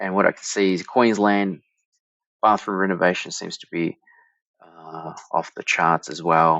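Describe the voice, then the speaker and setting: Over a quiet background, a man with an Australian accent talks at a moderate pace in a very deep, low voice, with ordinary pitch variation and a dry sound with no echo. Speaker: marketing director; presenter. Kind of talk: tutorial. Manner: casual, with frequent fillers and restarts. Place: home room.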